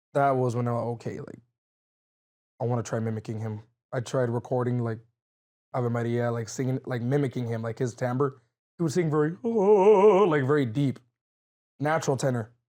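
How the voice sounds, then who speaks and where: A man's medium-pitched, dark, mellow voice at a moderate pace, with ordinary pitch variation and long, frequent pauses. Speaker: mariachi trumpet player and vocalist. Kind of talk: interview conversation. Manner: loud; halting, many fillers.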